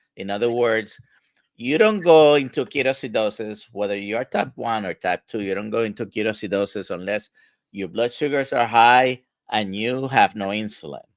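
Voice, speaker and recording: This man talks at a moderate pace and medium pitch with ordinary pitch variation, an ordinary speaking voice. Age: 60s. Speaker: medical doctor, livestream host. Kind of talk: live Q&A discussion. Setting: livestream video call.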